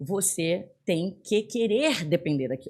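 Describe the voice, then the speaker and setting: Very wide pitch swings run through a woman's fairly low voice. The recording is very clean, with a silent background. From northern Brazil, Belém do Pará. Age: 40s. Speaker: business executive. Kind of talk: podcast interview.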